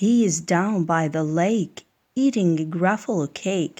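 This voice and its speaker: Using a put-on character voice, a woman speaks at a fairly low pitch. She goes at a fairly slow pace. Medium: read story.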